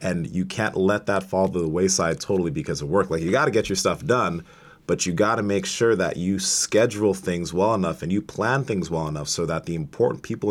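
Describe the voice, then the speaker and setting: A man talks at a fairly quick pace in a very deep, low pitch with lively intonation. The recording is very clean, with a silent background. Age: 20s. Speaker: bodybuilder and powerlifter, online fitness coach. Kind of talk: casual interview chat. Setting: studio.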